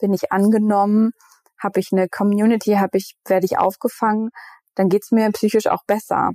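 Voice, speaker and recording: A woman's fairly high-pitched voice with a dark, mellow tone comes across monotone and flat, at very even loudness, in a dry, close recording with no echo. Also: fairly quick pace. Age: 30s. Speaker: mental health agency co-founder, communication strategist. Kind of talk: interview conversation. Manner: hesitant, many fillers.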